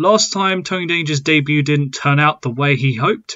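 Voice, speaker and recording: The background is quiet as a man talks. He keeps a moderate pace and ordinary pitch variation. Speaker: gaming channel host. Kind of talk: casual gameplay commentary. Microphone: headset.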